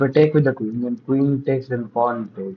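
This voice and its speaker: At a moderate pace, a man speaks in a somewhat breathy voice with a medium pitch and fairly even intonation. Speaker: chess coach. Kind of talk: live puzzle solving. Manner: thinking aloud, halting.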